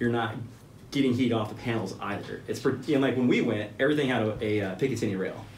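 A man with an American accent speaks in a somewhat breathy voice. Light background noise and audible room echo accompany him. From Central Texas. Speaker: business owner and military veteran; podcast guest. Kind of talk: casual interview. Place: meeting room.

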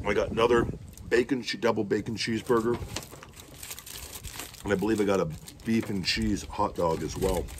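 Noticeable background noise runs under a man's fairly low voice. He talks at a fairly quick pace with fairly even intonation. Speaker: food vlogger. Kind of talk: casual vlog chat. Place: garden. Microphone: phone near.

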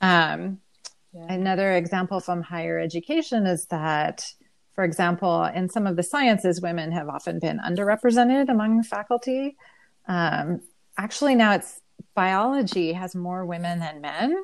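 With lively intonation at a moderate pace, a woman at a medium pitch has a plain, everyday voice. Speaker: online high school English teacher. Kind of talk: interview discussion.

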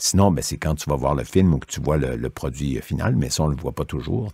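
Using vocal fry and lively intonation, a man with a very deep, low pitch speaks at a fairly quick pace in a dark, mellow tone, recorded with a dry, close sound and no echo. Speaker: voice actor. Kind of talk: interview.

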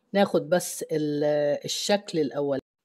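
A woman speaks in an Egyptian accent. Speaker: cooking channel host. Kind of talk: cooking tutorial.

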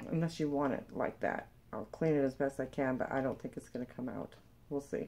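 This woman speaks at a fairly quick pace in a very deep, low voice with a dark, mellow tone and monotone, flat intonation. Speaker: online reseller and video creator; reseller. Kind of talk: unboxing video, casual monologue; casual unboxing chat. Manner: casual with frequent fillers. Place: home room. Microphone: webcam.

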